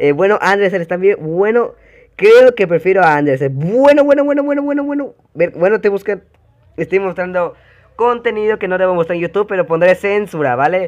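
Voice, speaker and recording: A man's high, lively voice at a fairly quick pace. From Mexico (Yucatán). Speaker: gaming youtuber. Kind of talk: casual reaction commentary. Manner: animated; halting, many fillers.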